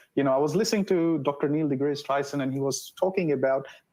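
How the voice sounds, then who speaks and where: Using a medium pitch with ordinary pitch variation, a man speaks with a non-native accent. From non-English-speaking background. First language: not English. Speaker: data analytics professional, livestream co-host. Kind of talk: live stream panel discussion.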